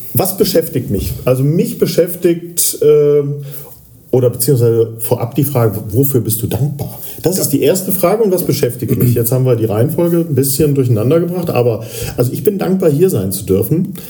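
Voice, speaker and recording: Through noticeable background noise, a man with a fairly high voice talks at a fairly quick pace. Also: lively intonation. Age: 50s. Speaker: radio journalist and podcast co-host. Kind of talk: casual chat. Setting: patient room in a rehab clinic. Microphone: poor recording quality.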